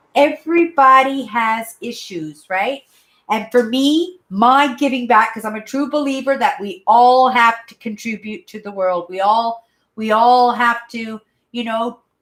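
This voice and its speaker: With a Canadian accent, a woman speaks at a moderate pace in a plain, everyday voice with a fairly high pitch. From Manitoba, Canada. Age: 50s. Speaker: YouTuber. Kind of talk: casual live-stream chat. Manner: rambling, conversational.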